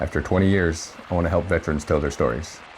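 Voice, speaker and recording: Very deep, low male voice, fairly quick, with fairly even intonation over noticeable background noise. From Devils Lake, North Dakota. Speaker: army veteran, podcast host. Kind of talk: podcast intro narration.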